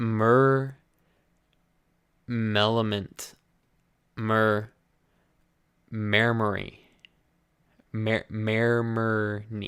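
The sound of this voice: Mumbling at a very slow pace, a man puts on a character voice at medium pitch. His intonation is monotone and flat.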